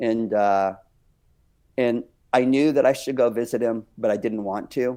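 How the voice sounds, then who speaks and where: With a dark, mellow tone at medium pitch, a man speaks at a fairly slow pace. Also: fairly even intonation. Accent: Texan. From Texas. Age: 60s. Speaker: dance company director and minister. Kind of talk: interview testimony. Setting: podcast interview.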